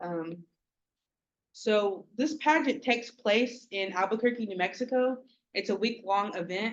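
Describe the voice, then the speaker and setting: Woman with an American accent, fairly high in pitch, fairly slow, with ordinary pitch variation and long, frequent pauses. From Oklahoma, Okmulgee area. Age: 20s. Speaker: pageant contestant. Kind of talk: speech introducing herself at a community meeting. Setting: community meeting.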